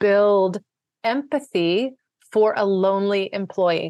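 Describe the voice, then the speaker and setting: Her sound is dry and close with no echo, over a quiet background. A woman at medium pitch speaks with an American accent and ordinary pitch variation. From US, Washington DC suburbs (Maryland, Virginia). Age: 50s. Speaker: marketing executive and author. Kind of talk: interview.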